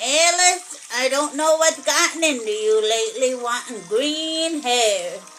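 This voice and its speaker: Over clear background noise, a woman uses a cartoonish character voice at a fairly slow pace. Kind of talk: children's puppet show. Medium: puppet show. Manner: gruff, grumbling.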